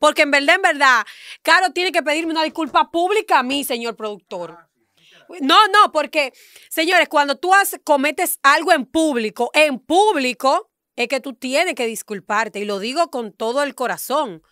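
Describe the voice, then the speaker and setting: The voice is raised and projected, with a bright, sharp tone and lively intonation. The sound is dry with no echo. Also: woman, high pitch for a woman, moderate pace, quiet background. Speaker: radio show panelist; radio panelist. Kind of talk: heated debate. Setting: radio studio, live on camera. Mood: indignant, defensive. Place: studio. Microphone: studio mic.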